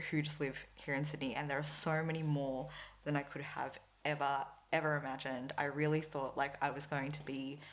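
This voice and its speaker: A woman with an Australian accent speaks at a moderate pace in a very deep, low pitch. Her intonation is monotone and flat, and the room echo is audible. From Philippines / Australia (Filipina-Australian). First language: Tagalog. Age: 20s. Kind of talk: casual vlog talk to camera. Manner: chatty, filler-heavy.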